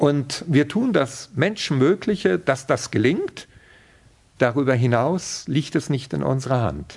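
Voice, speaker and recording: A man speaks at a very slow pace with vocal fry. His intonation is lively. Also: fairly high pitch for a man. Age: 50s. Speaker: police chaplain. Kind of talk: interview. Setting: exhibition room.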